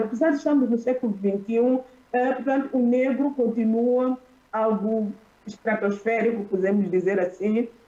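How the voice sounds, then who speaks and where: Someone with a Mozambican accent speaks at a moderate pace over noticeable background noise. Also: woman. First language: Xichangana (speaking Portuguese). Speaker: academic panelist. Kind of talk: conference panel talk. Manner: halting. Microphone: poor internet connection.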